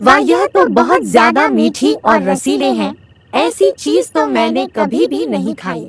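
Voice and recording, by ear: A cartoonish character voice, low-to-middle in pitch, at a fairly slow pace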